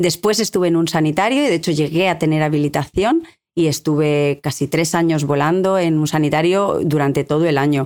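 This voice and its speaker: A woman's fairly low voice at a fairly quick pace, with very even loudness and ordinary pitch variation. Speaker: helicopter pilot and aeronautical engineer. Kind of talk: interview. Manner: halting.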